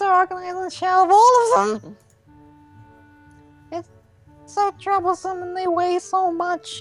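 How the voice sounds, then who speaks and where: A put-on character voice with long, frequent pauses over faint background music. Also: female-sounding voice, extremely high pitch for a woman, fairly slow pace. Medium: read story. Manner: nervous, apologetic, mood swings.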